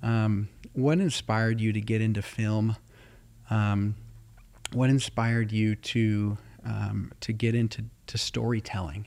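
A man's fairly low voice, flat and monotone, at a fairly slow pace. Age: 30s. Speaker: podcast host. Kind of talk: interview.

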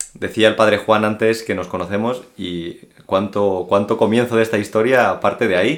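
An ordinary speaking voice at a fairly quick pace. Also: man. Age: 20s. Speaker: seminarian. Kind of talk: testimony.

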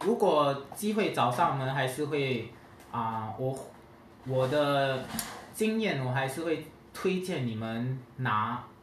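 A man's medium-pitched voice with a Singaporean accent, very slow pace, long and frequent pauses, lively intonation, audible room echo and noticeable background noise. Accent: Singaporean Mandarin. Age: 30s. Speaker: hotel sales worker. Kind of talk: casual chat.

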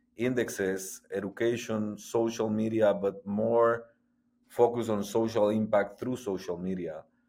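In a very clean recording with a silent background, a man with a Spanish accent speaks in a fairly low, dark, mellow voice with monotone, flat intonation. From Guatemala. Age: 40s. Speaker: athlete and sports entrepreneur. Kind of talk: interview. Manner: halting, many repetitions.

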